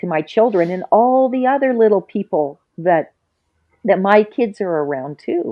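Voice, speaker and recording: Her intonation is lively as this woman speaks at a moderate pace. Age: 60s. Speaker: mother, podcast guest. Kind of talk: casual chat.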